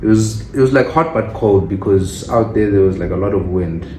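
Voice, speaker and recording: In a Zulu accent, a man with a very deep, low pitch speaks with lively intonation amid noticeable background noise and audible room echo. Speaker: student and vlogger. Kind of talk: casual chat.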